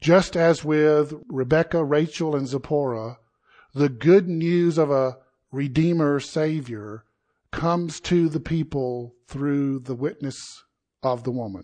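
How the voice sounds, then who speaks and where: A man with a South Carolina accent, fairly high in pitch and dark and mellow in tone, at a very slow pace with ordinary pitch variation and a quiet background. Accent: Southern US (South Carolina). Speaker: pastor. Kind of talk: sermon. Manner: conversational.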